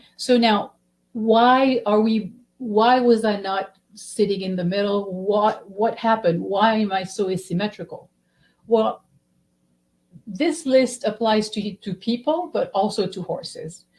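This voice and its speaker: At a fairly slow pace, a woman speaks in a somewhat breathy voice with a fairly high pitch. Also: ordinary pitch variation. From Belgium. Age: 60s. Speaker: physical therapist. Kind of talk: webinar presentation.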